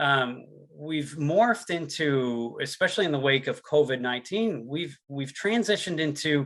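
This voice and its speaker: Against a quiet background, a man speaks at a moderate pace. His voice is fairly high, with lively intonation. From Newfoundland and Labrador, Canada. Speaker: sales and product presenter. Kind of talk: webinar presentation. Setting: online webinar.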